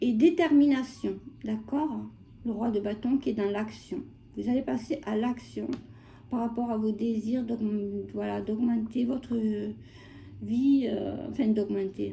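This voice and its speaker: A woman's fairly high, somewhat breathy voice with a dark, mellow tone and ordinary pitch variation, very slow, with long, frequent pauses. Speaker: tarot reader. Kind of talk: tarot reading. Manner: hesitant, many fillers.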